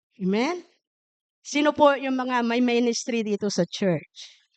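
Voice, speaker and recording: A woman's high-pitched voice at a very slow pace, dry and close with no echo, over a quiet background. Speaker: pastor. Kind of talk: sermon. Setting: church.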